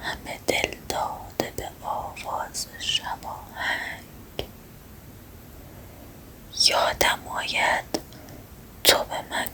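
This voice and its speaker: A whisper moves at a very slow pace, with noticeable noise in the background. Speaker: ASMR creator. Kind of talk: whispered poetry reading. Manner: whispered, soft.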